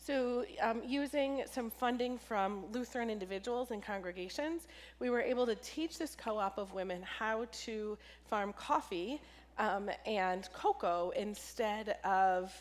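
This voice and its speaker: The voice is a plain, everyday voice with ordinary pitch variation. It moves at a fairly slow pace. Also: woman, fairly high pitch for a woman. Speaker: pastor, charity engagement director. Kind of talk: church talk.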